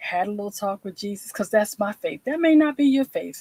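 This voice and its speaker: An American accent carries lively intonation. The sound is dry and close, with no echo. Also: woman. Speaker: veteran and self-care speaker. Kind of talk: live stream talk. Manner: occasionally slurred words.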